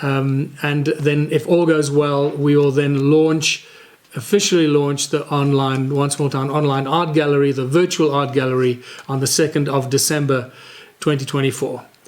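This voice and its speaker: A man with a fairly high voice speaks at a moderate pace in a flat monotone over noticeable background noise. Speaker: community initiative founder and podcast host. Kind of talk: solo podcast talk.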